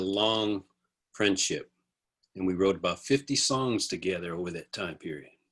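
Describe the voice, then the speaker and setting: A man with an ordinary speaking voice talks at a moderate pace with ordinary pitch variation. The recording is very clean, with a silent background. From US, army bases in California. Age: 60s. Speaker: music producer and songwriter. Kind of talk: interview.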